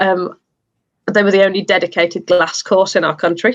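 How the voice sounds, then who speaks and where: With an English Midlands accent, a woman speaks at a fairly quick pace. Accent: British (English Midlands). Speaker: glassblower and studio owner. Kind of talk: interview.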